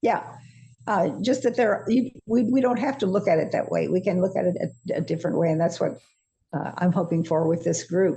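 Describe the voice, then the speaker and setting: Her voice is medium-pitched, dark and mellow, and somewhat breathy, with lively intonation. This woman speaks at a fairly quick pace and a very even loudness. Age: 80s+. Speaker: course teacher, senior faculty. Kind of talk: casual interview chat. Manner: halting.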